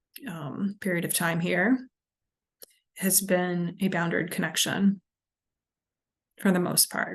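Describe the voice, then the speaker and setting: A woman's somewhat breathy voice at a very slow pace, with fairly even intonation and long, frequent pauses. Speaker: addiction recovery counselor and indie musician. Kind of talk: casual vlog talk. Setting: recorded on Zoom. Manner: halting, many ums.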